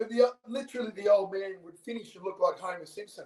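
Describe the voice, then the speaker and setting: Ordinary pitch variation from a man with an Australian accent. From Sydney, Australia. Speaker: former sports CEO and salesman. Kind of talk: interview answer.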